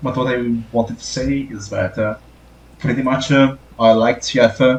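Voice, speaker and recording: This man has an Italian accent and a moderate pace. His intonation is monotone and flat. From Italy. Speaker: TF artist, podcast guest. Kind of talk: casual podcast interview. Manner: halting, many fillers.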